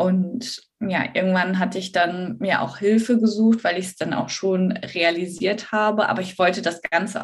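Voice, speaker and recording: A woman talks at a medium pitch with fairly even intonation. Her voice is somewhat breathy. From northern Germany, Bremen. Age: 30s. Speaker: eating disorder recovery coach. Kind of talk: interview.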